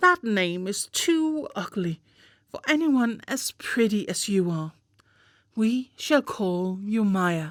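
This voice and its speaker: A woman speaks very slowly in a put-on character voice with fairly high pitch, on a very clean recording with a silent background. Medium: read story.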